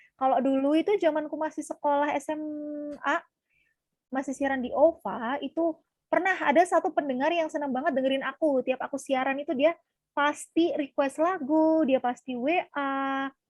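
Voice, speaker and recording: A woman speaks at a moderate pace in a high voice. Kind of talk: casual interview. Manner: energetic.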